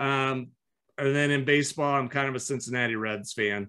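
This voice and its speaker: The background is quiet as a man speaks in a US Midwestern accent. His tone is bright and sharp, with ordinary pitch variation. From US Midwest (Iowa). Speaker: business owner and entrepreneur coach; entrepreneur coach. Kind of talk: interview. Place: home room. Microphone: webcam.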